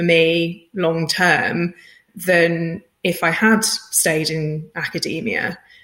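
Delivered in a British accent, the voice has a bright, sharp tone and monotone, flat intonation. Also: woman. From Britain. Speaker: head of data science. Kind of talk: interview.

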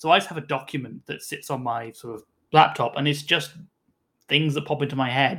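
This man speaks with a British accent at a fairly high pitch and a fairly quick pace. His tone is bright and sharp, his intonation fairly even. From UK. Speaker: tabletop game designer. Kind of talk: casual chat.

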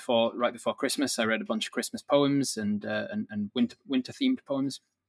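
A man speaks at a moderate pace. The recording is dry and close, with no echo. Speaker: dungeon master and streamer. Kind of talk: casual interview.

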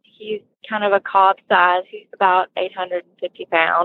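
A woman speaks with a strong Alabama accent. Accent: strong southern Alabama drawl. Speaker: horse owner, listener product reviewer. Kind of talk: casual interview chat.

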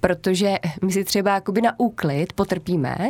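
A woman with an ordinary speaking voice talks at a moderate pace, her medium pitch rising and falling in lively intonation. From Czechia, Tachov area. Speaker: animal shelter operator. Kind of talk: casual interview.

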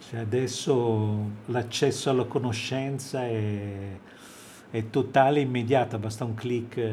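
Long, frequent pauses break up the monotone, flat delivery. Audible room echo hangs on the sound. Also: man, medium pitch for a man, fairly slow pace. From Italy (Livorno, Tuscany, until age ten). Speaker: jazz saxophonist. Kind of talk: radio interview.

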